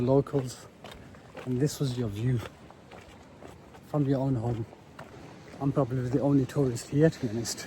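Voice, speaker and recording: Fairly quick, monotone speech in a British accent, with flat intonation, long, frequent pauses and noticeable background noise. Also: man. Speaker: travel vlogger. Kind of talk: travel vlog narration. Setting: outdoors.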